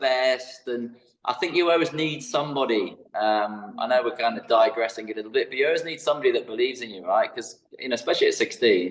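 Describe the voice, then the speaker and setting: The speaker talks at a fairly quick pace with a British accent. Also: man. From England. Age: 50s. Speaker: fitness educator. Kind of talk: podcast interview.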